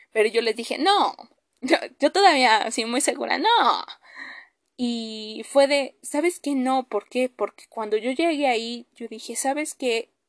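A high-pitched woman's voice with lively intonation at a fairly slow pace, dry and close with no echo. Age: 20s. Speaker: podcast host. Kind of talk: personal monologue. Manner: hesitant with many fillers.

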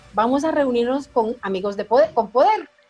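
Music plays as a woman talks at a moderate pace. Her voice is high, with ordinary pitch variation. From Guatemala. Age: 40s. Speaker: life coach and entrepreneur. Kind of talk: interview testimony.

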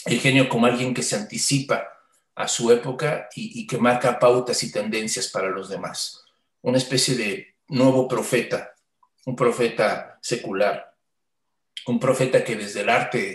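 A man speaks with a medium pitch and ordinary pitch variation. His voice is somewhat breathy, and his pace is fairly slow. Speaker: podcast host. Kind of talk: casual chat. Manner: halting.

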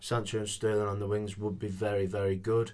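Here is a man's voice. It has a fairly low pitch. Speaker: football podcast co-host. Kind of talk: casual chat.

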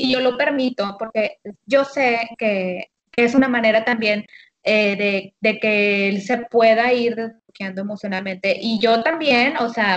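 A woman talks at a fairly slow pace in an ordinary speaking voice. Her fairly high pitch varies normally, and the sound is dry and close with no echo. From Monterrey, Nuevo León, Mexico. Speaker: habits coach. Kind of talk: casual chat. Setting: phone call.

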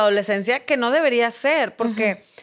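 Lively, bouncing intonation from a woman, captured very cleanly with total silence behind. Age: 40s. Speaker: politician and recovering addict. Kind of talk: interview testimony.

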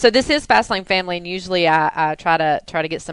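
At a fairly quick pace, a woman talks in an unremarkable speaking voice with a fairly low pitch. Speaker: podcast host. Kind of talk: casual interview chat. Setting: studio.

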